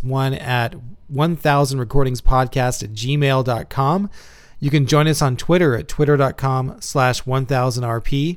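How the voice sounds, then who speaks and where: A man with an American accent uses a normal speaking voice, fairly high in pitch with ordinary pitch variation, talking at a fairly slow pace in a very clean recording with a silent background. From Texas, Houston. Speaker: podcast host. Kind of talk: casual chat.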